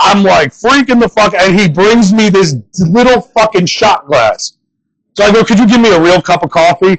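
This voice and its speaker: Recorded dry and close with no echo, the voice has an American accent, ordinary pitch variation and very even loudness. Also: man, high pitch for a man, moderate pace. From northern US. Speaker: comedian. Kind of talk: stand-up.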